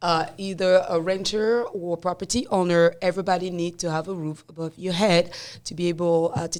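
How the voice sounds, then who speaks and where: A woman with a non-native accent talks at a fairly quick pace, with hardly any pauses. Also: very clean recording, silent background. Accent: non-native accent, noticeable. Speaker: real estate broker, podcast host. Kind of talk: casual podcast chat.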